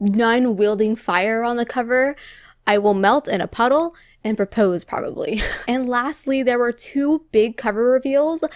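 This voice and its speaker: A woman with a high pitch speaks in an Ohio accent with ordinary pitch variation. The recording is very clean with a silent background, and the sound is dry and close with no echo. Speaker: book reviewer. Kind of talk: casual vlog talk. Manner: animated.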